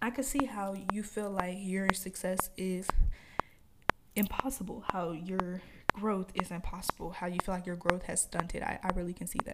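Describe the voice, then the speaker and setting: Against noticeable background noise, a woman talks at a medium pitch with fairly even intonation. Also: moderate pace. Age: 20s. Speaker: podcaster. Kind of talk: solo rant, casual podcast monologue, unscripted, venting to listeners. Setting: home recording with microphone. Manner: rambling, heated and frustrated, informal, with filler words; stuttery, unplanned, repeats words.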